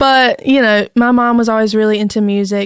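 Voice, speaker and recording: A woman with a strong North Carolina accent and fairly even intonation, in a dry, close sound with no echo on a very clean recording with a silent background. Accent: thick North Carolina Southern. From southeastern North Carolina, US South. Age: 20s. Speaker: singer-songwriter. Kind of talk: casual chat.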